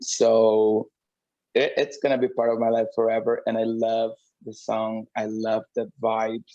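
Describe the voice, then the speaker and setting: With a Portuguese accent, a man speaks at a fairly slow pace in a dry, close sound with no echo. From Brazil. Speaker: drag queen and singer. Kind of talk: interview. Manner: halting.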